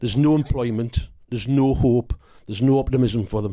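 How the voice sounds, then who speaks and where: A dark, mellow tone in a North East England accent, at a fairly quick pace with fairly even intonation, in a very clean recording with a silent background. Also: man. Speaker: actor. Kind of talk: interview.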